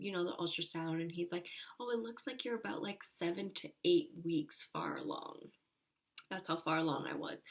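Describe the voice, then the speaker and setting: At a moderate pace, the clip carries a plain, everyday voice. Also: woman. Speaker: vlogger. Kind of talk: casual chat.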